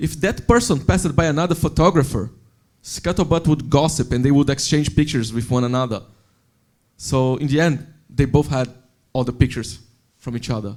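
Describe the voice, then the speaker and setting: A man with a non-native accent talks at a fairly quick pace with long, frequent pauses, in a very clean recording with a silent background. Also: fairly high pitch for a man, ordinary pitch variation. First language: not English. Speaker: software developer, panelist. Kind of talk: panel discussion.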